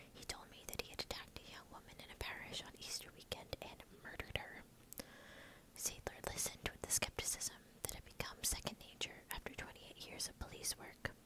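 Someone is whispering at a moderate pace. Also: woman. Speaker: ASMR storyteller. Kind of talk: whispered true crime narration. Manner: whispered, soft. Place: home room. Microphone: earbuds.

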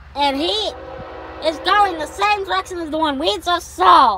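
A woman talks in a raised, projected voice with lively intonation at a moderate pace, the sound dry with no echo and light background noise behind her. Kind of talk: casual commentary. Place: car. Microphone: phone near.

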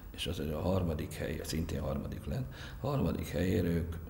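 Amid light background noise and audible room echo, a man with a very deep, low voice speaks at a moderate pace with lively intonation. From Hungary. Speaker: canoe coach. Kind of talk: interview. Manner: halting. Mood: calm, reflective. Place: studio.

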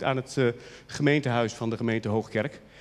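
At a fairly quick pace, a man is talking. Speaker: archivist; presenter. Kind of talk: short lecture. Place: hall. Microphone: handheld.

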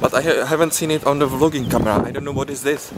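A man at a fairly quick pace in a dry sound with no echo, over loud background noise. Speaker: vlogger. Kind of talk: casual vlog chat. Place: street. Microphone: phone near.

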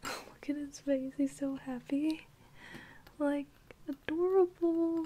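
Speech comes at a very slow pace, broken by long, frequent pauses. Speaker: ASMR unboxing creator. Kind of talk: ASMR unboxing, soft-spoken talk to camera. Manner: soft-spoken. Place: home room.

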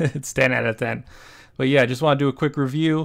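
A man talks in a quiet setting, his intonation fairly even. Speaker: anime reaction streamer. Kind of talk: casual review commentary. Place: home room.

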